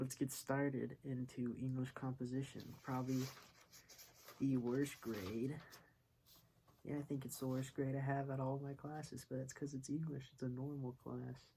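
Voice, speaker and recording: A man with a medium pitch speaks at a moderate pace in a dark, mellow, somewhat breathy tone. His intonation is monotone and flat, with long, frequent pauses. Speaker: online university student and music producer. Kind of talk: casual vlog review. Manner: stumbles over words.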